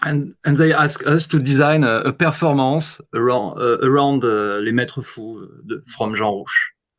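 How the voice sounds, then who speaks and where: This man has a fairly high voice and a French accent, talking at a moderate pace with hardly any pauses. His loudness swings widely. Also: ordinary pitch variation. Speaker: guitarist. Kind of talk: interview. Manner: halting.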